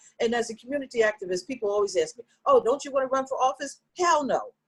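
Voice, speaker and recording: A woman's pitch swings very widely. The sound is dry and close, with no echo. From Philadelphia, US. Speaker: community activist. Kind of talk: casual chat. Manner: animated.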